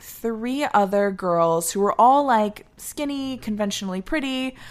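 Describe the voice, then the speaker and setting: A woman's fairly high voice, animated in tone, with lively intonation at a moderate pace. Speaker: actor and singer. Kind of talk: casual chat.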